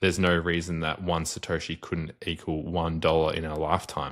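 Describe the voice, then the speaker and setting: The recording is very clean and the background silent. A man talks at a moderate pace. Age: 20s. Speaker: bitcoin investor. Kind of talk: podcast interview. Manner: casual.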